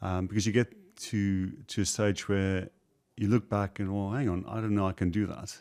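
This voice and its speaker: Heard on a very clean recording with a silent background, a man with a South African accent speaks at a fairly low pitch in a monotone, flat intonation. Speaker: property investor, former IT contractor. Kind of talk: interview. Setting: studio. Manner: hesitant, many fillers.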